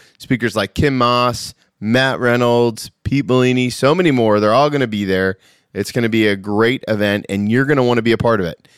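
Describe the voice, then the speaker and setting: An ordinary speaking voice from a man, medium in pitch, with ordinary pitch variation and a fairly quick pace. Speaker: podcast host. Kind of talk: casual interview.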